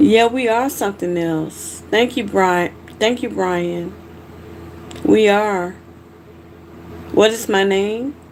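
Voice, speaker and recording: Against noticeable background noise, a woman with an American accent speaks at a very slow pace with long, frequent pauses, at a medium pitch with ordinary pitch variation. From US South, Georgia (Macon). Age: 40s. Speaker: livestreamer. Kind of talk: casual chat. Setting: live stream. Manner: animated.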